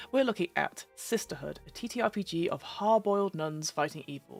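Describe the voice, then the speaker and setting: Over music in the background, a woman of medium pitch speaks with very wide pitch swings. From London. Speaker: voice-over artist, gamemaster, podcast host. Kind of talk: casual live-stream talk about tabletop games. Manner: chatty, informal, with many fillers.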